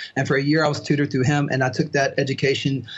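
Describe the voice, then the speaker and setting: A man speaks at a fairly high pitch in a somewhat breathy voice. His intonation is monotone and flat. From US South, southern Mississippi and Alabama (Mobile area). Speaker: biblical languages tutor. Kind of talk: casual chat.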